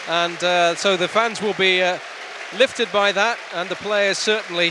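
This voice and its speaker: Over crowd noise in the background, a man raises and projects his high-pitched voice. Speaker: hospital radio football commentator. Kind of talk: live play-by-play football commentary, reacting to fouls and cards as they happen. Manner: excitable and quickening on big moments, emphatic on cards and saves; conversational with frequent fillers and repeated words.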